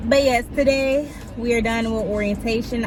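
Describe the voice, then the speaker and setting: A woman with a fairly high pitch and ordinary pitch variation speaks in a room with audible echo and music playing behind her. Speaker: vlogger and nursing assistant trainee. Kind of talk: casual vlog talk to camera. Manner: fast.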